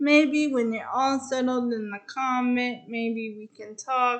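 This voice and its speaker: At a fairly slow pace, a woman speaks in a raised, projected voice with a high pitch. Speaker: video reviewer. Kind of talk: casual episode recap. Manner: halting.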